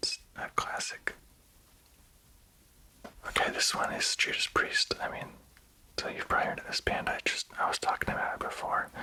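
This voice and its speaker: Whispering at a moderate pace with long, frequent pauses, a man speaks over noticeable background noise. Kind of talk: ASMR whisper ramble. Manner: casual, rambling.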